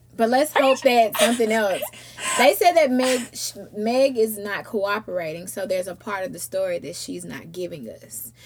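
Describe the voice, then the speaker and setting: A woman talks at a moderate pace with a fairly high pitch and lively intonation. Her loudness swings widely, and there is noticeable background noise. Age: 20s. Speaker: podcast host. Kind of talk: casual chat.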